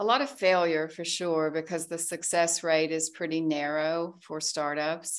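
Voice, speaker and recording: Against a quiet background, a woman with an American accent talks at a fairly slow pace with hardly any pauses, her fairly even intonation carrying a plain, everyday voice. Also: fairly low pitch for a woman. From US South, Arkansas. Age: 60s. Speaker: tech entrepreneur. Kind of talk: casual interview, personal testimony.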